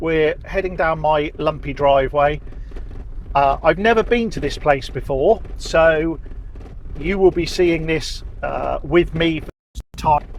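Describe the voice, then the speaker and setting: In a relaxed tone, a man with a southern English accent speaks at a fairly high pitch with ordinary pitch variation. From southern England. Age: 50s. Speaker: vlogger. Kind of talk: casual vlog narration. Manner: relaxed, with fillers.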